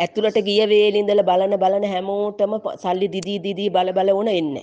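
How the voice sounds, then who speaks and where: Her voice at a medium pitch, a woman speaks with a dark, mellow tone and fairly even intonation. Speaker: migrant worker. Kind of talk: voice message plea.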